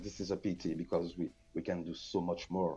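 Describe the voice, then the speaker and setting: A man with a French accent speaks at a very deep, low pitch and a moderate pace. Music plays in the background. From Guadeloupe. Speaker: reggae recording artist. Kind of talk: radio interview.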